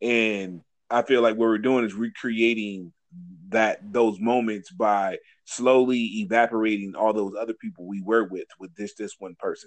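In a plain, everyday voice, a man talks at a moderate pace with fairly even intonation and big swings in loudness. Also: medium pitch for a man. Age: 40s. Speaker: podcast co-host. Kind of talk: casual chat.

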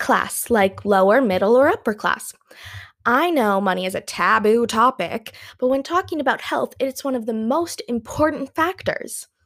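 Heard in a very clean recording with a silent background, a woman with a Canadian accent speaks at a high pitch with lively intonation. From Canada. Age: 20s. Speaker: podcast host, music therapy student. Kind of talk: solo educational podcast talk. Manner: laughs often.

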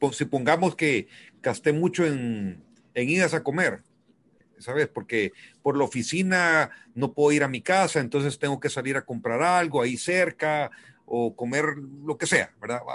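In a normal speaking voice, the words come at a fairly slow pace with ordinary pitch variation. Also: man, fairly high pitch for a man. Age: 50s. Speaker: businessman and weekly radio guest. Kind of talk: casual radio chat about personal finance.

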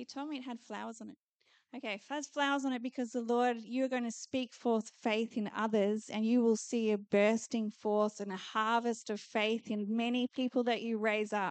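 A woman speaks at a moderate pace in a fairly high pitch. Her intonation is monotone and flat, and the sound is dry and close with no echo. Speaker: preacher. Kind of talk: sermon with prophetic prayer. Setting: church conference with audience. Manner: fervent, declarative, rhythmic repetition.

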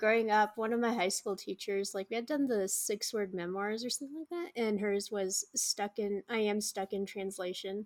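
On a very clean recording with a silent background, a woman with a plain, everyday voice speaks at a moderate pace and medium pitch, using ordinary pitch variation. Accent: American. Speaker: podcast co-host. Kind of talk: podcast interview hosting.

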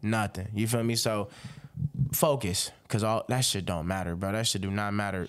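In a very clean recording with a silent background, a man with an American accent talks at a moderate pace in a fairly low voice. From Robbins, Illinois, near Chicago. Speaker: rapper. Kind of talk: casual podcast interview. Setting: podcast interview. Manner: animated, conversational, frequent filler.

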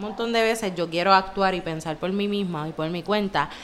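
This woman has a Puerto Rican accent. Her voice is at a medium pitch. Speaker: podcast co-host. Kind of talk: casual chat.

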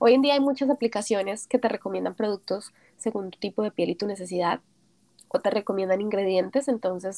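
This is a normal speaking voice at a moderate pace. The sound is dry and close, with no echo. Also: woman. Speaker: entrepreneur. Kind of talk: interview.

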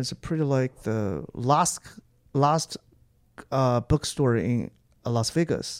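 A man with a Chinese accent, fairly high in pitch with ordinary variation, in a dry, close recording with no echo. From northern China (Jinan, Shandong). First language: Mandarin Chinese. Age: 30s. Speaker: stand-up comedian. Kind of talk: casual chat. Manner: halting.

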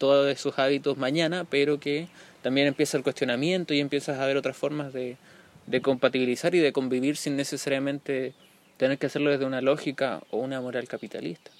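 The delivery is very fast and monotone, with flat intonation throughout. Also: man, fairly high pitch for a man. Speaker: podcast host and social activist. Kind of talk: casual chat. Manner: halting.

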